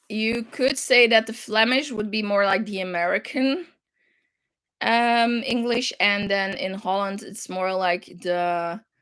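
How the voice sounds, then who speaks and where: In a very clean recording with a silent background, a woman with a slight European accent talks at a fairly slow pace, her fairly high voice showing ordinary pitch variation. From Flanders, Belgium. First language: French. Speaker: crafting livestream host. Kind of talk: casual chat. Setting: livestream. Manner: halting.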